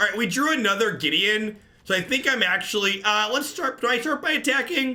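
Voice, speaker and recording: Projecting a raised voice at an extremely high pitch, a man talks fairly quickly with lively intonation and very even loudness. Noticeable background noise sits behind him. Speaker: card game streamer. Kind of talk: live gameplay commentary.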